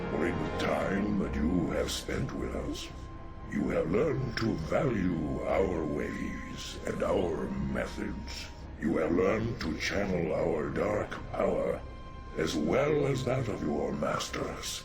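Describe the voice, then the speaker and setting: Loud music plays in the background as a man uses a put-on character voice. His pitch is fairly low and his pace fairly slow. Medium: machinima. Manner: solemn, measured.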